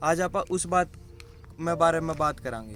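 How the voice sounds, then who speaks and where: Over music in the background, a man with a Haryana accent speaks in a high pitch with ordinary pitch variation. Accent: Haryanvi. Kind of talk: casual explainer talk to camera.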